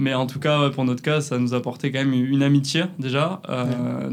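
A man with a southern French accent talks at a fairly quick pace. His medium pitch follows fairly even intonation. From southern France, near Perpignan. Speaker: photographer and videographer, agency co-founder. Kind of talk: casual interview. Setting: in person, La Rochelle.

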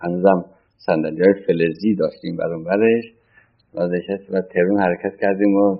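At a moderate pace, a man speaks with a very deep, low pitch and fairly even intonation, pausing long and often. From Iran, Tehran. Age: 60s. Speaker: former central banker. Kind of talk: oral history interview. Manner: halting.

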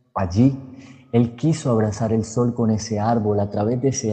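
A man's fairly even intonation, somewhat breathy in tone. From Colombia, Cúcuta (Norte de Santander). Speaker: storyteller and psychologist. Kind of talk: storytelling narration.

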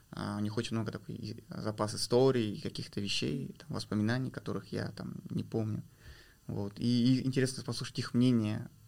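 Here is a man with an unremarkable speaking voice at a medium pitch. He talks at a moderate pace with ordinary pitch variation. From Kazakhstan, rural village. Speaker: PR specialist and documentary filmmaker. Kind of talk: interview.

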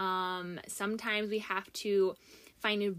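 The recording is very clean with a silent background, and the woman speaks at a medium pitch. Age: 20s. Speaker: podcast host. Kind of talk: casual monologue.

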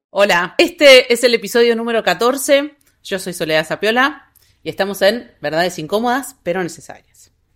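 Someone with a Rioplatense accent talks at a moderate pace in a very clean recording with a silent background. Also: woman, fairly high pitch for a woman, lively intonation. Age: 40s. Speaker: political scientist and university administrator. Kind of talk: casual interview.

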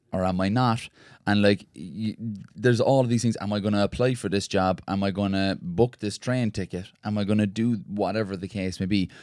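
A man with an Irish accent, fairly low in pitch and fairly quick, with fairly even intonation, in a dry, close sound with no echo on a very clean recording with a silent background. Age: young. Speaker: ultra endurance runner. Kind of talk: casual chat. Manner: lilting, poetic delivery.

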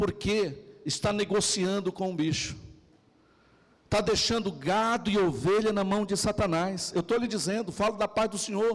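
Here a man speaks at a moderate pace. His pitch is high, with fairly even intonation. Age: 40s. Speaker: pastor. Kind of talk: sermon.

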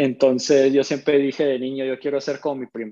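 A man's voice sits fairly high in pitch and has a dark, mellow tone. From northern Mexico (Monterrey). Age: 20s. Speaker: professional basketball player. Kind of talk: casual interview.

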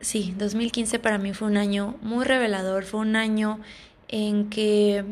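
A woman with a fairly high pitch speaks at a very slow pace. Room echo is audible. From Sonora, Mexico. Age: 20s. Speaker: flight attendant. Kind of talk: casual monologue. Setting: home recording. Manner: halting.

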